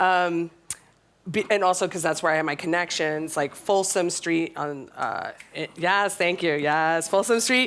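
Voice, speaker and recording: A woman with an American accent and an unremarkable speaking voice talks at a fairly slow pace, fairly low in pitch, with ordinary pitch variation. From USA. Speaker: tech company co-founder, panelist. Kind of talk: panel discussion.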